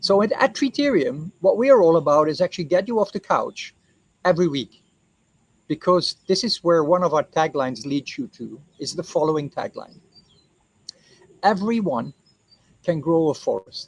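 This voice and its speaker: Pitched high, a man speaks with lively intonation and long, frequent pauses. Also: moderate pace, dry, close sound with no echo. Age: 60s. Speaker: co-founder presenting his reforestation project. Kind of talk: explainer talk to camera.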